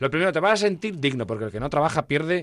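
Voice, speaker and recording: With vocal fry and a fairly high pitch, a man speaks in an animated tone with very wide pitch swings. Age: 50s. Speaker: entrepreneur and shop owner. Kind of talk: interview.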